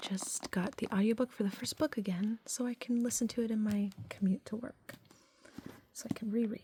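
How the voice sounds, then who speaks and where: Soft-spoken delivery at a moderate pace over noticeable background noise. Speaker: ASMR creator, book hauler. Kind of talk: ASMR book haul talk to camera.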